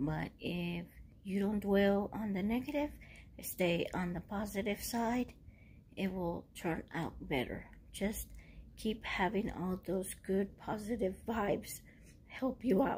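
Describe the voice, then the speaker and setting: A hoarse, put-on character voice speaks at a fairly slow pace over clear background noise. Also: woman, medium pitch for a woman. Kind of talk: casual vlog chat, motivational. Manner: encouraging, upbeat. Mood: calm, encouraging.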